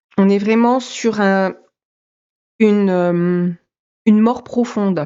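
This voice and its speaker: A woman at a medium pitch, speaking at a very slow pace with fairly even intonation. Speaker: tarot and energy reader. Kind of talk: psychic reading. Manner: halting, many fillers.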